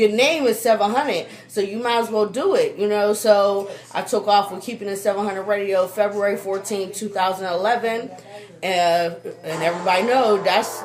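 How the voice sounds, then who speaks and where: In an American accent, a woman speaks at medium pitch and a moderate pace with fairly even intonation. Noticeable background noise is present. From Pittsburgh, Pennsylvania. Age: 20s. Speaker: radio host. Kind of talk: interview. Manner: loud.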